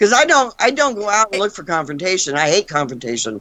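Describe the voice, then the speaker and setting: With vocal fry and very wide pitch swings, a woman talks at a fairly quick pace. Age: 60s. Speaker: paranormal investigator. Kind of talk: casual chat.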